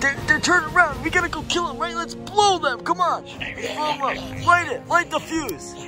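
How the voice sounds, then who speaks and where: A put-on character voice speaks at a moderate pace. Clear music plays in the background. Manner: loud, excitable, shouting.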